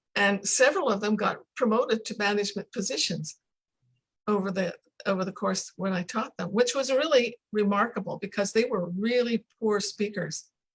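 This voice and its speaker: This woman's voice is somewhat breathy. Her pitch sits in the medium range. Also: ordinary pitch variation, moderate pace. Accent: Canadian. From Canada. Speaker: English pronunciation coach. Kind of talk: casual chat.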